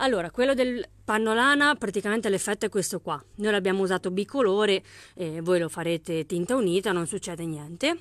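Upbeat and lively in intonation, a woman talks at a fairly quick pace. The sound is dry with no echo and the background quiet. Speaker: craft shop owner selling haberdashery products online. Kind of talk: live-stream sales pitch; street-seller-style pitchman patter, rattling off kit prices and discounts. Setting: live video stream. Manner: upbeat, brisk, persuasive, pushing the bargain with price comparisons; chatty and friendly, greeting viewers by name. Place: shop. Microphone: phone near.

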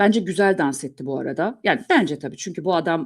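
A woman talks at a very fast pace, recorded very cleanly against a silent background. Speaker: journalist and news commentator. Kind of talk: solo news commentary.

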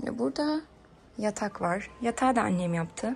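A woman talks at a fairly slow pace with light background noise. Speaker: vlogger. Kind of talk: casual vlog chat, home tour. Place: home room. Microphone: phone near.

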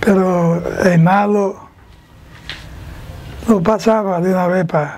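Speaking very slowly, a man uses a high pitch. His intonation is monotone and flat. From Dominican Republic. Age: 80s+. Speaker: retired police officer. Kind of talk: interview answer. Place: street. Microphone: lapel.

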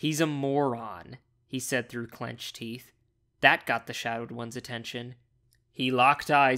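The background stays quiet. A natural reading voice carries fairly even intonation.

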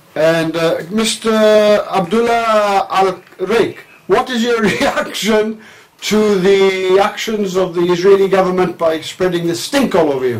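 Against noticeable background noise, a man with a high voice speaks at a very slow pace with ordinary pitch variation. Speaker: parody field reporter. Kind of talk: comedic parody news report.

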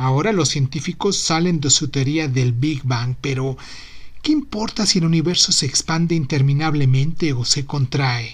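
The voice has a warm tone and a fairly slow pace. Noticeable background noise can be heard. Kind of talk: literary poem reading, read aloud with a gentle, playful, reflective tone. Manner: warm, unhurried, intimate and tender, with light humor and affectionate irony.

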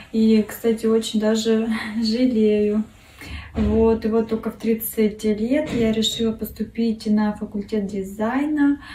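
A woman speaks very slowly at a fairly high pitch, her intonation flat and monotone. Light background noise and an audible room echo are present. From Russia, Kurgan; Russia. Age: 30s. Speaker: art contest entrant, design student. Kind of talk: self-introduction video; contest self-presentation. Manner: halting, many fillers. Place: home room. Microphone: phone near.

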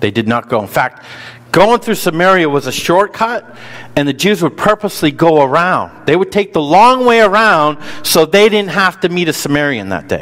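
A man with a high pitch and lively intonation, speaking at a moderate pace. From US North. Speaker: pastor. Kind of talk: sermon. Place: church.

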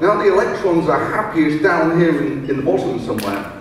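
A man at a moderate pace, with strong room echo and light background noise. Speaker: presenter. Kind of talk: lecture. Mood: playful, humorous. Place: hall.

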